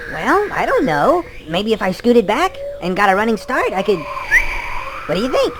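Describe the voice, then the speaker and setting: A cartoonish character voice at a fairly high pitch. Clear background noise runs under it. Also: moderate pace. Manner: wide-eyed, eager.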